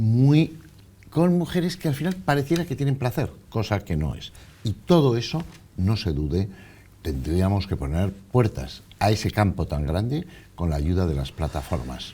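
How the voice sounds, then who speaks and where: This man speaks at a fairly slow pace in a fairly low pitch, his tone dark, mellow and somewhat breathy. His pitch swings very widely. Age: 60s. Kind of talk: TV interview.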